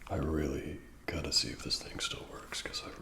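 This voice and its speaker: Against noticeable background noise, a man whispers at a moderate pace in a relaxed tone with an American accent. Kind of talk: ASMR personal attention talk showing items to the viewer. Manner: soft-spoken, whispery, relaxed.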